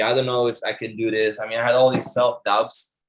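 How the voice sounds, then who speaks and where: A medium-pitched male voice with a non-native accent at a fairly quick pace. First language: not English. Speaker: online marketing instructor. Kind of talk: webinar presentation. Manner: animated, motivational; repeats words, halting.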